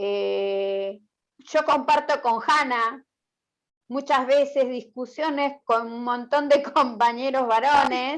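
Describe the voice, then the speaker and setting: A woman speaks very slowly in a high voice with ordinary pitch variation, on a very clean recording with a silent background. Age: 60s. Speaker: meeting participant. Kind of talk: panel discussion.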